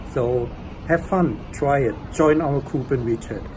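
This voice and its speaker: A man with a German accent, fairly high pitch and fairly even intonation, against noticeable background noise. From Germany. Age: 30s. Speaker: language learner, engineer. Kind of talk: testimonial. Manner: casual, hesitant with fillers.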